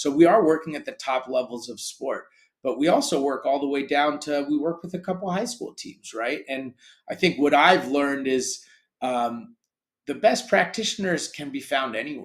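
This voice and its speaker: An unremarkable speaking voice from a man with an American accent, fairly high pitch, lively intonation, big swings in loudness and a moderate pace. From grew up in Europe, American. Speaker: sports tech company founder. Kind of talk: interview.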